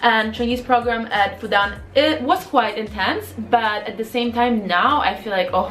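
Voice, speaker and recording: Over background music and audible room echo, a woman with a Polish accent speaks in an animated tone at a fairly slow pace with hardly any pauses, her pitch fairly high with ordinary variation. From Poland. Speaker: vlogger and MBA student. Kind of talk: casual Q&A vlog. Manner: animated, filler-heavy.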